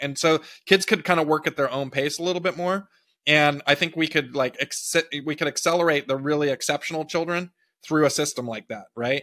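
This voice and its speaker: In a Californian accent, a man with a fairly high voice and a bright, sharp tone speaks at a moderate pace with ordinary pitch variation, in a very clean, dry, close recording with no echo and a silent background. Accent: Californian American. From US West Coast (Big Sur, California). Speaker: presidential candidate, tech entrepreneur. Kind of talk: interview.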